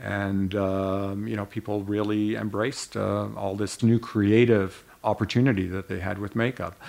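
With a Canadian accent, a man speaks at a moderate pace in a fairly low pitch, using a monotone, flat intonation and hardly any pauses. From Slovenia, raised in Canada. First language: Slovenian. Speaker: cosmetics company co-founder. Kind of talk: interview storytelling.

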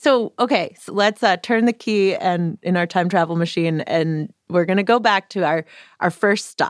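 In a very clean recording with a silent background and a dry, close sound with no echo, a woman speaks at a moderate pace with medium pitch, ordinary pitch variation and an animated tone. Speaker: radio host. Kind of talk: casual conversational hosting. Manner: animated, friendly.

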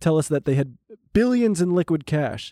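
This man talks very fast in a fairly high pitch, his tone dark and mellow, with a dry, close sound and no echo. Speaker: podcast co-host. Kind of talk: pitchman parody, cheesy ad-voice stock-broker promo. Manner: loud, exaggerated, hard-sell.

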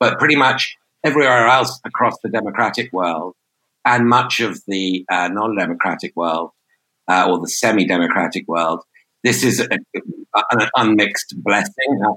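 A man with a British accent speaks in a bright, sharp tone at medium pitch, his intonation lively and the sound dry and close with no echo. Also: moderate pace. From Britain. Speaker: journalist. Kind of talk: interview discussion.

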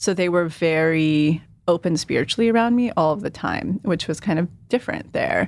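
A woman with a fairly low pitch and an American accent uses a plain, everyday voice with ordinary pitch variation in a very clean recording with a silent background. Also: moderate pace. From California Central Valley. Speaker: manifestation coach. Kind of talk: casual interview chat.

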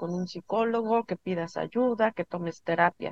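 A woman with an unremarkable speaking voice talks at a fairly slow pace with ordinary pitch variation. The sound is dry and close, with no echo. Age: 50s. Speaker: spiritual healer. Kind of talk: interview.

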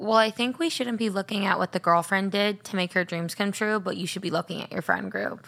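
A woman with a plain, everyday voice speaks at a fairly quick pace and medium pitch, with ordinary pitch variation and hardly any pauses. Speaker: social media PR commentator. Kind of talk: casual podcast chat.

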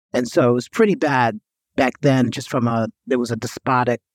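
A man with a medium-pitched, normal speaking voice and an American accent talks at a moderate pace, recorded with a dry, close sound and no echo. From New York. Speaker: healthcare executive and author. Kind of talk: interview conversation.

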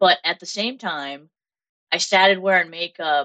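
A woman with a fairly low pitch and a fairly bright tone speaks with ordinary pitch variation, in a dry, close sound with no echo.

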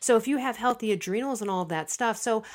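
A woman's voice with lively intonation, on a very clean recording with a silent background. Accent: American. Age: 40s. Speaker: author and podcast host. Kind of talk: casual interview chat. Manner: fast talker.

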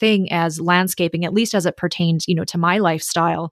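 In an American accent, a woman with an unremarkable speaking voice talks at a medium pitch with ordinary pitch variation against a quiet background. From US Midwest, Minnesota. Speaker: interior designer. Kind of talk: casual interview chat.

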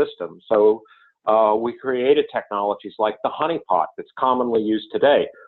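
A man speaks at a moderate pace with a medium pitch. He has a plain, everyday voice. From US South, North Carolina. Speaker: technology executive. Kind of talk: interview.

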